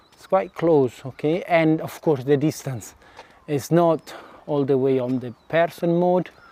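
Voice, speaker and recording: This man, with an Italian accent and fairly high pitch, talks at a fairly slow pace with ordinary pitch variation. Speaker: vlogger. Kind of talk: casual walking vlog. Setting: outdoors, walking. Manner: halting. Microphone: DJI mic without windscreen.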